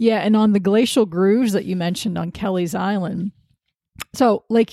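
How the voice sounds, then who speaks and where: Speaking with an American accent, this woman has a dark, mellow tone and a medium pitch. Her intonation is fairly even and her pace moderate. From Sandusky, Ohio, US Midwest. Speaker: podcast host, wildlife photographer. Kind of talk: interview; scripted podcast intro.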